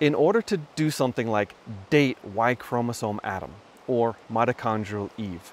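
The man's voice sounds dry with no echo, against light background noise. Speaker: presenter. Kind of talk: explanatory vlog talk. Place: waterside. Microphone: phone near.

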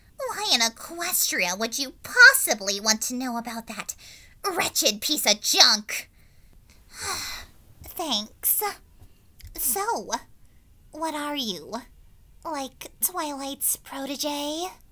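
In a put-on character voice, a female-sounding speaker talks at a high pitch and a very slow pace with long, frequent pauses. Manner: scornful, dismissive, haughty.

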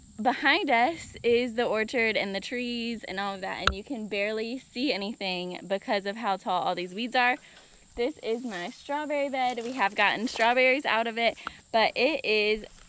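Light background noise surrounds a woman talking at a moderate pace. The sound is dry with no echo, and her pitch variation is ordinary. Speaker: homesteading vlogger. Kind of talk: casual vlog chat. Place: open country. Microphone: phone near.

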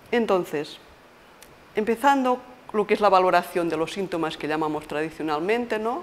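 Using lively intonation at a moderate pace, a woman talks with long, frequent pauses. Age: 50s. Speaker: palliative care nurse. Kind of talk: interview monologue; interview answer. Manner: halting. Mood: calm, explanatory. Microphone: lapel.

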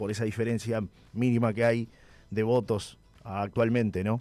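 With a Uruguayan accent, a man talks at a moderate pace and medium pitch. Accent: Uruguayan Spanish (rioplatense). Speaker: radio host. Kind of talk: radio interview; reading listener messages. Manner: halting, with repeated words.

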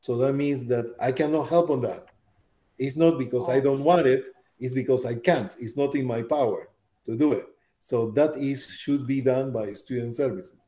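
A man speaks with fairly even intonation and a dark, mellow tone. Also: moderate pace. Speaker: college bioscience instructor. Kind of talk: lecture. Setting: classroom. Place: home room. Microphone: webcam.

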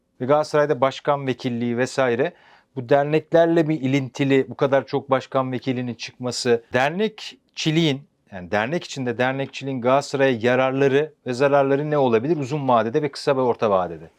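The sound is dry and close with no echo, as a man talks at a fairly quick pace. He has an ordinary speaking voice, medium pitch and ordinary pitch variation. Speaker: sports journalist. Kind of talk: football talk-show interview.

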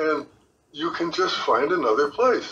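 Using a raised, projected voice, a man talks at a fairly slow pace with lively intonation. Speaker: retiree. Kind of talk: interview.

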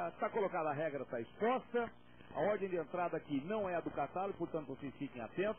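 Over light background noise, a man with a fairly high pitch talks at a fairly quick pace with lively intonation, in a dry sound with no echo. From Brazil. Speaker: rural auctioneer. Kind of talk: auctioneer announcing sale terms, then opening the auction. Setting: live auction event with an audience. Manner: salesman-like, upbeat, cheerful, addressing the crowd as friends. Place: studio. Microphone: handheld.

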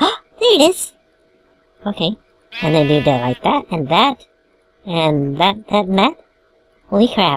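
A put-on character voice at a middle pitch comes with long, frequent pauses. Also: moderate pace. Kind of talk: comedic let's play commentary. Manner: cartoonish.

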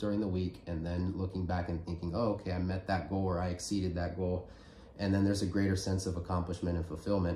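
Amid light background noise and audible room echo, a man with a very deep, low pitch and a dark, mellow tone talks at a very fast pace in a monotone, flat intonation, sounding somewhat breathy. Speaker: podcast host. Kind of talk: casual chat. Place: home room. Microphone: phone near.

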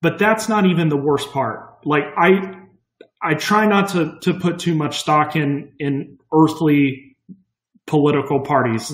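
In an American accent, the speaker goes at a fairly slow pace with ordinary pitch variation and a somewhat breathy sound, with audible room echo over a quiet background. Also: man. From Kansas. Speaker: Republican campaign volunteer. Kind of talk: personal testimony. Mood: earnest, concerned. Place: home room. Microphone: webcam.

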